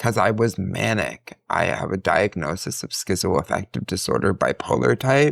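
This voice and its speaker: With a very deep, low pitch, vocal fry and very wide pitch swings, a man talks with hardly any pauses in a dry, close sound with no echo. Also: moderate pace. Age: 40s. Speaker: grad student and podcast guest. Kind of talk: casual interview conversation.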